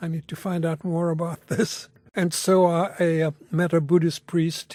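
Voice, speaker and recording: In a dark, mellow tone, a man with a fairly high pitch talks at a moderate pace, the sound dry and close with no echo. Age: 80s+. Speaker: retired Buddhist priest interviewee. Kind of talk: interview. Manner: halting.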